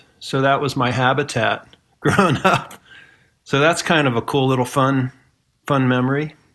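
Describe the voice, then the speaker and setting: In a Midwestern American accent, a man talks at a moderate pace and medium pitch, his intonation fairly even, with long, frequent pauses. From Ohio, US Midwest. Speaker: musician. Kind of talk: casual chat.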